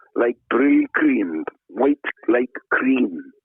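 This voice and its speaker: In a South Wales Valleys accent, a man speaks at a very slow pace. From Wales, South Wales Valleys (Treforest). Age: 70s. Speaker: retired tackle shop owner and angler. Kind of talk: casual chat.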